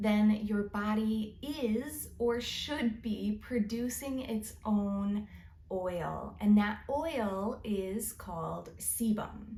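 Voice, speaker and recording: A woman's dark, mellow, somewhat breathy voice, fairly high in pitch with ordinary pitch variation, at a very slow pace. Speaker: licensed cosmetologist and podcast host. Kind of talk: educational podcast monologue. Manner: slow-paced.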